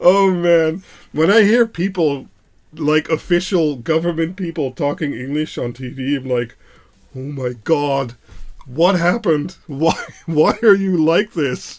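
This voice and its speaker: A man speaks in a Dutch accent at a fairly high pitch. His pace is fairly slow. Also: ordinary pitch variation. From Netherlands. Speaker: electronics maker and livestreamer. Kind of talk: live soldering stream chat. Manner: casual, joking.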